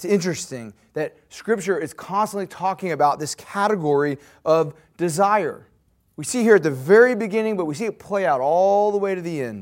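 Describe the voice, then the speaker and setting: Over a silent background in a very clean recording, a man talks at a fairly quick pace. His intonation is lively. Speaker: guest preacher. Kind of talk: sermon. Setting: church.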